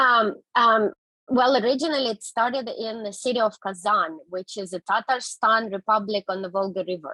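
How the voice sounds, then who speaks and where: With a Russian accent, a woman speaks at a moderate pace in a bright, sharp tone, fairly high in pitch with ordinary pitch variation. The sound is dry and close with no echo. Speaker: interpreter. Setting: video call.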